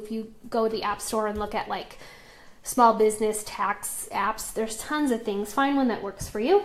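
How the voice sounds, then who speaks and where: A woman with an American accent uses an unremarkable speaking voice, fairly high in pitch, at a moderate pace with fairly even intonation. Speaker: essential oils business team leader. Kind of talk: live stream tutorial. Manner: casual, chatty.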